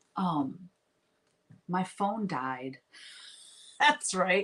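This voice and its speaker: Speaking with a Southern accent, a woman has a medium pitch and very wide pitch swings. Her pace is very slow. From US South. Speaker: painting livestreamer. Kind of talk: casual livestream chat while painting.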